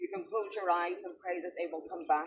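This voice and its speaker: The speaker has a Northern Irish accent and keeps a moderate pace. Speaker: ceremony leader. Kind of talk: remembrance ceremony address.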